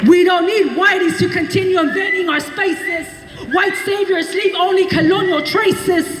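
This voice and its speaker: Amid noticeable background noise, a woman speaks in a passionate tone at an extremely high pitch and a moderate pace. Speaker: poet, historian, activist. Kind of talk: slam poetry performance. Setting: outdoors, live event. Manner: passionate, defiant.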